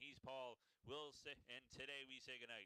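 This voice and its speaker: A man's bright, sharp tone at a moderate pace, the sound dry and close with no echo. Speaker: sports commentator. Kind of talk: live commentary.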